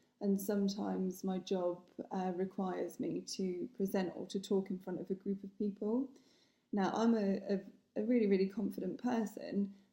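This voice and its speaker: A woman's somewhat breathy voice, dark and mellow in tone, medium in pitch, at a moderate pace with fairly even intonation. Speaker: vlogger with essential tremor. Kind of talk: personal vlog. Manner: hesitant, many fillers and repeats.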